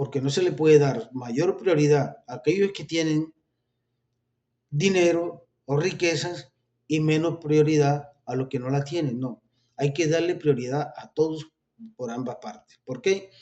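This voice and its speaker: A man with a normal speaking voice and a fairly high pitch speaks at a fairly slow pace, with ordinary pitch variation and big swings in loudness. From Colombia. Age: 60s. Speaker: religious video preacher. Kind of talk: informal religious talk with political commentary.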